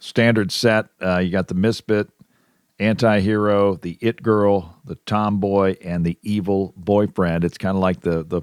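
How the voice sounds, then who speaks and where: In a dry, close recording with no echo, a man with an ordinary speaking voice talks at a fairly slow pace, fairly low in pitch with fairly even intonation. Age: 60s. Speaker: podcast co-host. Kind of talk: casual chat.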